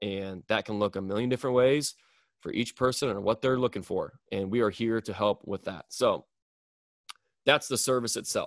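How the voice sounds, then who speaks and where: A man with a Midwestern US accent, a medium pitch and an excited tone at a moderate pace, in a dry, close sound with no echo and a quiet background. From US Midwest. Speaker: podcast host and strength coach. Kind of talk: solo podcast monologue. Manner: monotone but excited.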